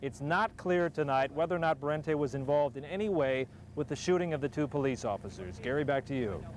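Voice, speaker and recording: In a plain, everyday voice, a man talks at a fairly quick pace, his pitch fairly high with ordinary variation. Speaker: television news reporter. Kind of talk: TV news report delivery.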